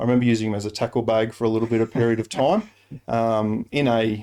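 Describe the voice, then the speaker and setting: With an Australian accent, a man talks very fast in a dark, mellow tone at medium pitch, his intonation fairly even. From Rockhampton, Queensland, Australia. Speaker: Salvation Army officer. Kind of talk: interview answer.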